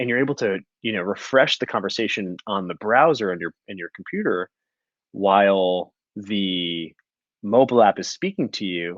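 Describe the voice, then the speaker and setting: A mumbling man with a fairly low pitch and a fairly quick pace. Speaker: podcast co-host. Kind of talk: casual chat. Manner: halting.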